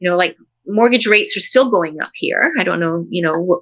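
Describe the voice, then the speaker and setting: A woman with a Canadian accent has an unremarkable speaking voice. She talks at a moderate pace with lively intonation. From Canada. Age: 60s. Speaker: professor. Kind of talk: casual chat.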